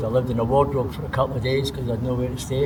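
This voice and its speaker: Noticeable background noise accompanies a man speaking at a medium pitch with fairly even intonation. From Scotland. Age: 60s. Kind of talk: interview answer. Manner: casual, conversational.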